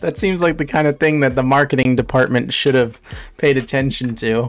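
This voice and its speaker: A man talks at a moderate pace. Behind him, music plays faintly. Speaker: streamer. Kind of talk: casual reaction commentary. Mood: amused, laughing often. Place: home room. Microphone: studio mic.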